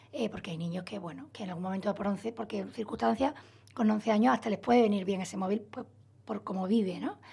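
This woman has an unremarkable speaking voice at a medium pitch, with ordinary pitch variation and big swings in loudness. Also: fairly quick pace. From Spain, Málaga (Andalusia). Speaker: psychologist. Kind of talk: radio interview, expert explanation.

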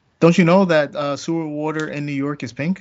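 A man speaks in a normal speaking voice with an American accent. His pace is fairly quick and his intonation fairly even. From US East Coast. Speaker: comics podcast co-host. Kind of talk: casual chat.

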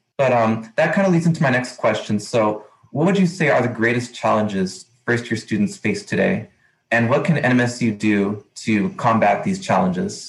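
A man with a medium pitch and a somewhat breathy voice speaks at a moderate pace, his pitch swinging very widely while his loudness stays very even. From Texas, El Paso. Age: 20s. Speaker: podcast host, university student staff. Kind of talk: interview.

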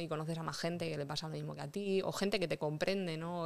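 A woman speaks quickly in a plain, everyday voice, fairly low in pitch, with fairly even intonation. The recording is very clean, with a silent background. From Vega Baja del Segura, Alicante, Spain (Rojales). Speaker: illustrator and paranormal investigator. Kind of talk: casual interview.

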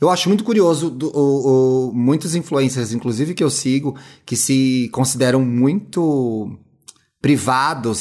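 With an unremarkable speaking voice, a man talks at a fairly high pitch with lively intonation. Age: 30s. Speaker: podcaster and media consultant. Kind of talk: casual interview chat.

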